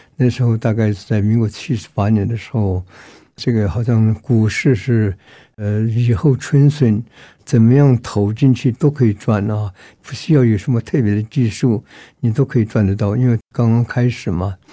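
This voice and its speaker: A man's medium-pitched voice, dark and mellow in tone, at a moderate pace on a very clean recording with a silent background. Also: ordinary pitch variation. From Myanmar. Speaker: pastor. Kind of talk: testimony.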